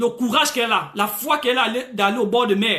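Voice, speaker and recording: A man projects his voice loudly at an extremely high pitch. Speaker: preacher. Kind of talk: sermon. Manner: animated, frequent alleluias.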